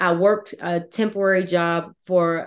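A woman with an American accent uses a normal speaking voice at a fairly low pitch. Her intonation stays fairly even over a quiet background. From Virginia. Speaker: author and army veteran. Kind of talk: interview.

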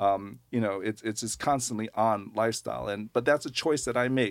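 With an ordinary speaking voice, a man talks fairly quickly at a medium pitch and with fairly even intonation. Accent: American. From US Northeast, Long Island, New York. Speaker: nonprofit lending executive director. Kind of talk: radio interview.

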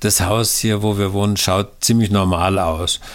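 An ordinary speaking voice from a man, fairly low in pitch, with fairly even intonation and a moderate pace. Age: 60s. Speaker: pastor and author. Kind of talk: interview. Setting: recorded at home, file sent.

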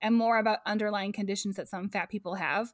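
A woman with an unremarkable speaking voice talks fairly fast at a fairly high pitch. The recording is very clean, with a silent background. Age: 30s. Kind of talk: casual chat.

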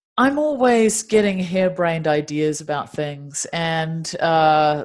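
A woman's fairly low voice with a New Zealand accent at a fairly slow pace. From Dunedin, New Zealand. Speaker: meditation teacher and singer-songwriter. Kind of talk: interview conversation.

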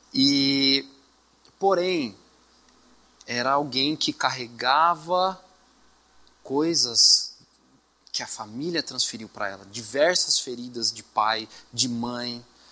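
A man speaks very slowly, with long, frequent pauses and big swings in loudness. Noticeable background noise runs underneath. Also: medium pitch for a man, ordinary pitch variation. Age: 30s. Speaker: assistant pastor preaching. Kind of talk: sermon. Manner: halting, repeats words.

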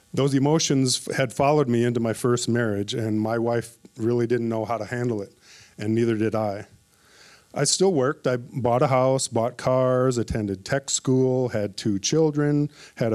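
In an Upper Midwest accent, a man speaks at medium pitch and a moderate pace with fairly even intonation, on a very clean recording with a silent background. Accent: Upper Midwest American. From Minnesota (Minneapolis). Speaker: church member giving testimony. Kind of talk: testimony.

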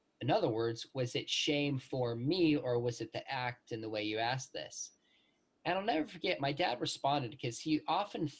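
At a medium pitch and moderate pace, a man's somewhat breathy voice shows ordinary pitch variation. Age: 40s. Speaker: professor. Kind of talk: interview.

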